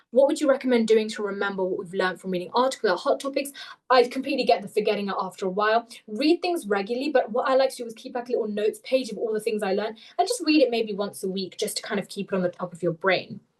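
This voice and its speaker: A woman talks at a very fast pace in a fairly high voice. Her loudness swings widely. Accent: British. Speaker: webinar presenter, medical interview tutor. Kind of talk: webinar Q&A. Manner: frequent filler words.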